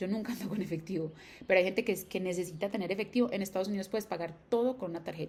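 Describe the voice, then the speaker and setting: A woman talks at a very fast pace. Her medium-pitched voice keeps fairly even intonation. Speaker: educational YouTuber. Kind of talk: tutorial.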